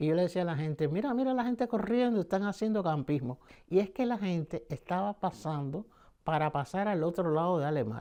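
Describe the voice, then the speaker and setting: A man with a Cuban accent speaks at a fairly quick pace in a high, dark, mellow voice, his intonation lively against a quiet background. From Cuba, Havana. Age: 70s. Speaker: painter, performer. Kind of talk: interview answer.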